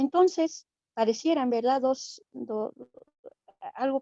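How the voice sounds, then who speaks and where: A woman with an Andean accent and a dark, mellow tone speaks at a very slow pace with ordinary pitch variation, the sound dry and close with no echo. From Bolivia, Aymara community of Chirapaca (Andean highlands). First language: Aymara (speaking Spanish). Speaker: invited panelist in a theology dialogue. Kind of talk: panel discussion, commenting and asking questions. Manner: halting, with many fillers and restarts.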